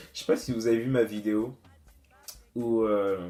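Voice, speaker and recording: A man speaks very slowly in a monotone, flat intonation. His tone is dark and mellow. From Guadeloupe. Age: 20s. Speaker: student youtuber. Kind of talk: casual Q&A vlog. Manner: hesitant, many fillers.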